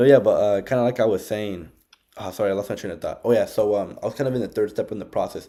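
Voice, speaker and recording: A loud man with an American accent talks at a very fast pace on a very clean recording with a silent background. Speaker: business recruiter. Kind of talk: casual chat. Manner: talkative, many fillers.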